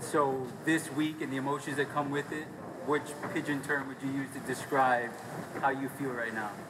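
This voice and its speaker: Over noticeable background noise, a man with a fairly high pitch speaks at a moderate pace in a monotone, flat intonation. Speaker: sports reporter. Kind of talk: TV news sports report.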